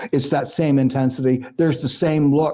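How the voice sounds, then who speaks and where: This man's voice sits fairly high, with a dark, mellow tone and ordinary pitch variation. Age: 70s. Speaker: psychic counsellor. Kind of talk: interview. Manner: halting.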